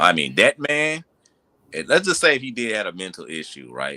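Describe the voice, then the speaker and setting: The pitch swings very widely, with a bright, sharp tone and vocal fry. The sound is dry and close, with no echo. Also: man. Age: 20s. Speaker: podcast host. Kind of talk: casual chat. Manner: animated.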